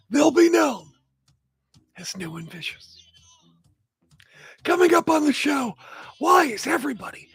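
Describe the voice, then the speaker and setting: The pitch swings very widely. Music plays behind the voice. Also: man. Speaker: wrestling radio host. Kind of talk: casual radio talk show.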